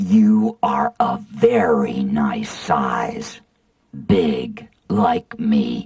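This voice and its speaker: A woman growls through a put-on character voice, fairly high in pitch and delivered at a very slow pace. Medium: read story. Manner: slow, gentle.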